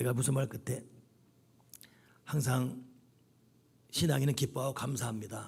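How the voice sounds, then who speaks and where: Vocal fry runs through a man's medium-pitched voice, which has ordinary pitch variation. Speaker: pastor. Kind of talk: sermon. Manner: animated.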